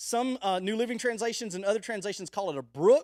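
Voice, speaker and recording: A loud man comes through in a dry, close sound with no echo. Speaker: youth pastor. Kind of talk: sermon. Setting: live stream.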